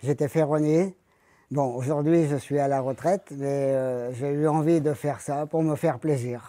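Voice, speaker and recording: A man talks at a fairly slow pace with fairly even intonation. His voice is fairly high, with a dark, mellow tone. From France, Isère (Dauphiné). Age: 70s. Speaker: retired ironworker. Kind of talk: interview by schoolchildren. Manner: casual, slightly halting.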